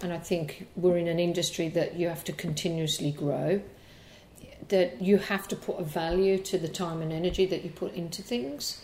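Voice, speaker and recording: This woman has an ordinary speaking voice, fairly low in pitch, and talks at a moderate pace. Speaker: hairdresser and educator. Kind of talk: interview.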